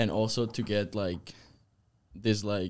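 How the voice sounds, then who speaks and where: Speaking with a Spanish accent, a man uses a fairly low pitch and fairly even intonation on a very clean recording with a silent background. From Spain, Zaragoza. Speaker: college tennis player. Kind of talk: interview.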